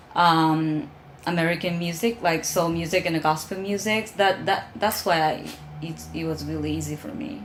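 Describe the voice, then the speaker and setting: Speaking at a moderate pace in a Japanese accent, the voice carries audible room echo with music in the background. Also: woman, fairly low pitch for a woman. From Japan, Osaka. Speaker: soul singer. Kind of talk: interview. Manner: halting.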